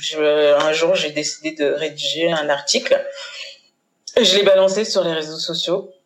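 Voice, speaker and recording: A woman's fairly low voice at a fairly slow pace, with ordinary pitch variation and long, frequent pauses. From Paris suburbs (Seine-Saint-Denis), Haitian-born. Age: 40s. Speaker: communication agency founder. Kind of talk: casual interview. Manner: hesitant, many fillers.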